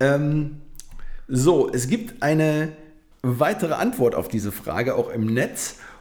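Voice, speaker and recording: A man's fairly high voice at a very slow pace, with very wide pitch swings and long, frequent pauses. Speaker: podcast co-host. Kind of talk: casual chat. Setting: home studio.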